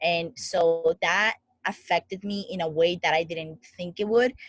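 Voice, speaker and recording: A woman with a Spanish accent speaks in a fairly low, somewhat breathy voice with ordinary pitch variation. The sound is dry and close, with no echo. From Dominican Republic. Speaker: founder of a coaching group. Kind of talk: interview.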